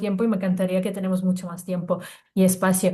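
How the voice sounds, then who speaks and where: With audible room echo, a woman of medium pitch speaks in a dark, mellow, somewhat breathy tone. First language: not Spanish (another native language) (speaking Spanish). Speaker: co-host. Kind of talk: panel discussion. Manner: halting, frequent repetitions.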